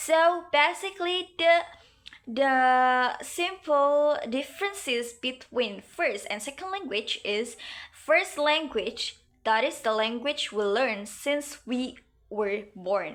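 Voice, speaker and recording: A woman speaks at a very slow pace. Her voice is high, and her pitch swings very widely. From Indonesia (West Java, Sundanese). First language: Sundanese. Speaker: university student. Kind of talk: class presentation. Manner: halting, many fillers.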